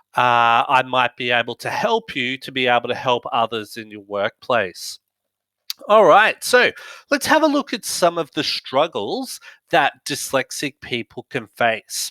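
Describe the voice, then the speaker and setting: In a very clean recording with a silent background, a man with an Australian accent talks at a fairly slow pace, his loudness swinging widely. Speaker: business director and dyslexia advocate. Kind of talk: talk to audience. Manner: halting, many fillers.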